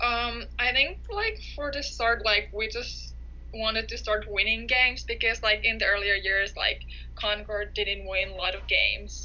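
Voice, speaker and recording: Noticeable background noise runs under a woman speaking at a fairly slow pace with a Finnish accent. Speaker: college soccer player. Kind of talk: interview.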